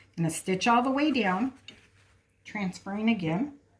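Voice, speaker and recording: Very wide pitch swings mark a woman's somewhat breathy voice. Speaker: sewing instructor, seamstress. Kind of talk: tutorial.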